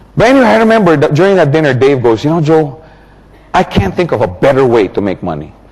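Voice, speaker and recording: A man talks very fast in an animated tone, his fairly high pitch swinging very widely. Noticeable background noise sits behind him. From Philippines. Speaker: motivational business speaker. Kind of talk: seminar talk.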